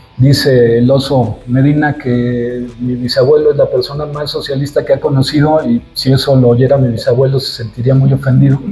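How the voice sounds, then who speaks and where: Music plays behind a man with a slight Zacatecas accent and a medium pitch. He speaks at a moderate pace with hardly any pauses and monotone, flat intonation. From Mexico, Zacatecas and Mexico City. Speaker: sculptor. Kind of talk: interview. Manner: halting, many fillers and repetitions.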